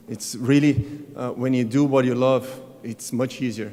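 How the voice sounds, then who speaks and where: Here a man speaks at medium pitch with monotone, flat intonation. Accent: Brazilian. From Brazil. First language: Portuguese. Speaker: tennis coach. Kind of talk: award acceptance speech. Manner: halting.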